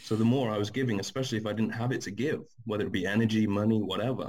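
A man with an English accent, medium pitch, ordinary pitch variation and a very fast pace. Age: 20s. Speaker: guest. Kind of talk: casual chat. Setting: video call.

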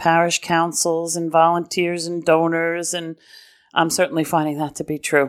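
A woman with an American accent has a normal speaking voice, fairly low in pitch, with fairly even intonation at a moderate pace on a very clean recording with a silent background. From New York City (Brooklyn/Queens). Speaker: diocesan development director. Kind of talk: interview. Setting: in-person lunch meeting.

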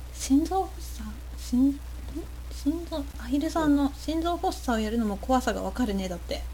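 A woman talks at a moderate pace, and room echo is audible. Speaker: podcast host. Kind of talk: casual chat. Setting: live stream.

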